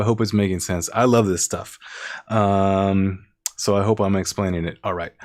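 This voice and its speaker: At a moderate pace, a man with an ordinary speaking voice talks at a fairly low pitch with ordinary pitch variation. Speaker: composer and music teacher. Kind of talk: live-streamed music theory lesson. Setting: YouTube live stream. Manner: casual with many fillers.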